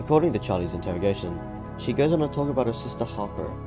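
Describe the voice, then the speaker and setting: A man's lively intonation comes through with music playing in the background. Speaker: gaming lore video creator. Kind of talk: casual explainer narration.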